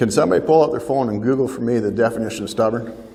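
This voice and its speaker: A somewhat breathy man speaks with audible room echo around him. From Ontario, Canada. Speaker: farm family mediator and speaker. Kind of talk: keynote talk to a seminar audience.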